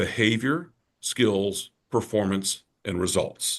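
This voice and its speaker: A man's voice with an American accent. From Georgia, US South (Savannah). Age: 60s. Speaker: personal development speaker and author. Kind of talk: podcast interview. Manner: animated.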